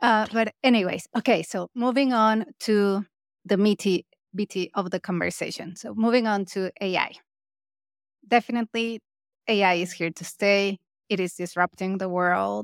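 In a very clean recording with a silent background, a woman talks in a normal speaking voice at medium pitch, with fairly even intonation and a moderate pace, the sound dry and close with no echo. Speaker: podcast host. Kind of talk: podcast interview.

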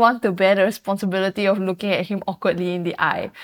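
A woman with a normal speaking voice talks at a fairly quick pace and medium pitch. The recording is very clean, with a silent background. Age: 20s. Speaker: recent graduate. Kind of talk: casual chat.

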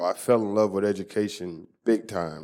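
A man's fairly low-pitched, plain, everyday voice with an American accent and fairly even intonation, in a very clean recording with a silent background. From Texas. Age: 40s. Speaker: former football player. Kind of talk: interview.

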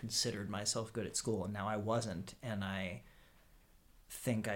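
This man has a fairly low voice and an American accent. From Pennsylvania, Harrisburg. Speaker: musician. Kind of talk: casual chat. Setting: in-person recording in a house. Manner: halting, repeats words.

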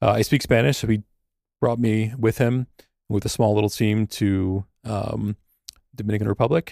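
A dark, mellow tone with fairly even intonation and long, frequent pauses comes through a dry, close sound with no echo on a very clean recording with a silent background. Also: man, fairly low pitch for a man, moderate pace. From moved around; upstate New York and Peru. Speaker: philosophy professor and nonprofit director. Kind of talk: casual chat.

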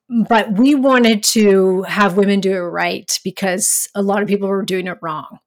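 An ordinary speaking voice from a woman at medium pitch, with ordinary pitch variation and a moderate pace. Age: 40s. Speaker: hormone specialist. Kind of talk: interview.

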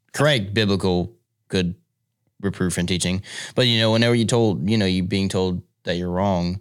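A man speaks at a moderate pace with a fairly low pitch and ordinary pitch variation. The recording is very clean with a silent background. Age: young. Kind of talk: casual chat.

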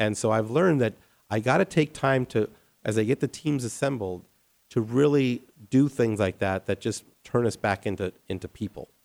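In an American accent, a man with an unremarkable speaking voice talks at a moderate pace and medium pitch with ordinary pitch variation, the sound dry and close with no echo. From Colorado, US. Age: 50s. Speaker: architect. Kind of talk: interview.

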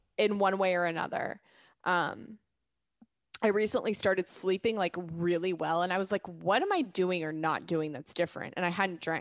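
At a moderate pace, a woman with a plain, everyday voice speaks at a medium pitch with ordinary pitch variation. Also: very clean recording, silent background. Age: 30s. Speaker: physician assistant. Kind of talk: casual chat.

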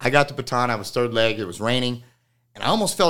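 Recorded very cleanly against a silent background, a man with an American accent speaks in a medium pitch with a bright, sharp tone. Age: 30s. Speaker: podcast host. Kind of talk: casual chat. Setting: studio.

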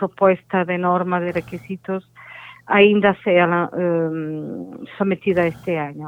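A woman speaks with a Portuguese accent at a fairly low pitch. Her intonation stays fairly even. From Portugal. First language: Portuguese (speaking Spanish). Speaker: innovation standards expert. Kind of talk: interview. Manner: halting.

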